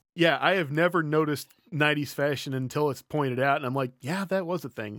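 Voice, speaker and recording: A man with an unremarkable speaking voice talks at a moderate pace in a fairly high pitch. His pitch variation is ordinary, and the recording is very clean with a silent background. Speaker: guest, voice actor. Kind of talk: casual chat.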